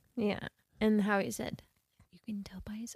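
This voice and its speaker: A woman speaks at a fairly high pitch in a somewhat breathy voice. The sound is dry and close, with no echo. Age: 20s. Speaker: podcast co-host, movie reviewer. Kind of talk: casual chat.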